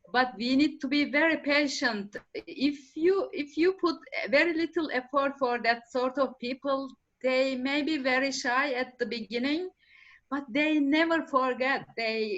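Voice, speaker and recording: A woman with a non-native accent speaks at a high pitch with ordinary pitch variation. Her pace is fairly slow. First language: not English. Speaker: permaculture practitioner. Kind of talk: panel discussion. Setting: conference panel. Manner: halting.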